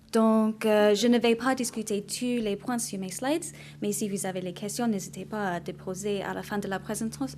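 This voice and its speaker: A woman with an English accent at a fairly slow pace. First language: English (speaking French). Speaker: actuary / insurance practitioner. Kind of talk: conference presentation.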